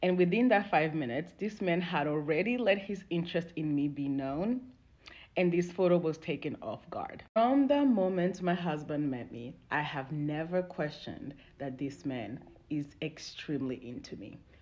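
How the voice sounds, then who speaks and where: There are big swings in loudness as a woman speaks at a moderate pace, with lively intonation and a fairly low pitch. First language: not English. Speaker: social media video creator. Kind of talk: personal story.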